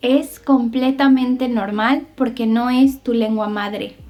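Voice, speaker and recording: This woman has a Mexican accent and a high pitch. She talks at a very slow pace with ordinary pitch variation. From Mexico. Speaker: Spanish teacher. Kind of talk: tutorial. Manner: slow, clear enunciation.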